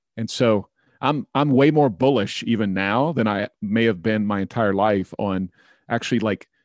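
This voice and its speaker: An ordinary speaking voice with an American accent, moderate pace and ordinary pitch variation, in a dry, close sound with no echo and a quiet background. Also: man. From Oklahoma, small town near Tulsa. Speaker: leadership consultant and author. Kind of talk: podcast interview.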